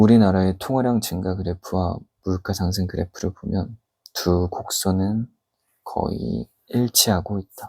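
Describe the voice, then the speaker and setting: Here a man talks at a fairly slow pace with a fairly low pitch and ordinary pitch variation. The sound is dry and close, with no echo. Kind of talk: book reading aloud, ASMR. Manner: normal speaking voice, reading aloud, slightly louder.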